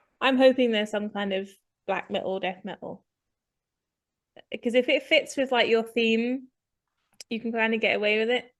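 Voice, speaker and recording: Against a quiet background, a woman with an English accent speaks at a fairly high pitch. Her intonation stays fairly even, broken by long, frequent pauses. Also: moderate pace. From England. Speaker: podcast co-host. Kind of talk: casual chat.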